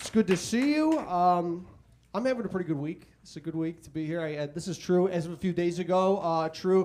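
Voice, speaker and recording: Big swings in loudness run through this man's speech, which comes at a fairly quick pace with a high pitch and ordinary pitch variation. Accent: Chicago. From Chicago. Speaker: stand-up comedian. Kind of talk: stand-up.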